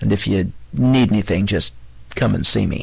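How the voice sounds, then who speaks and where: A man in a put-on character voice sounds raspy and fairly low, with very wide pitch swings, very even loudness and a moderate pace. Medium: read story. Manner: terse, clipped.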